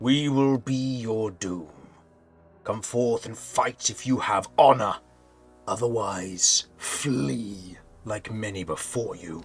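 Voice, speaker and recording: A man's resonant, put-on character voice, medium in pitch, at a very slow pace. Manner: menacing, challenging.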